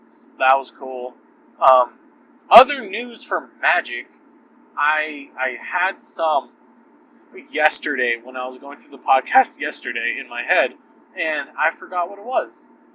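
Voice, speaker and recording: Speaking at a fairly slow pace, a man leaves long, frequent pauses, with big swings in loudness and very wide pitch swings over noticeable background noise. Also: fairly high pitch for a man. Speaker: podcast host. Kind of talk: casual chat. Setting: in a car. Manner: casual, filler-heavy.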